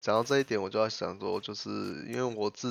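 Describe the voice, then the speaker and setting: A man talks in a fairly low-pitched voice. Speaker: podcast host. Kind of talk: casual chat. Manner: halting.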